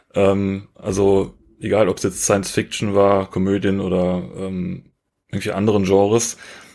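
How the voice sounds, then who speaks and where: At a moderate pace, a man with a dark, mellow tone and fairly low pitch speaks in a monotone, flat intonation on a very clean recording with a silent background. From Rhineland, Germany. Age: 30s. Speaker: photographer. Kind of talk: casual interview.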